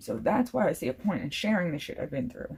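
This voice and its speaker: Her voice has a dark, mellow tone. This woman sounds somewhat breathy. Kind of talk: casual talk to camera.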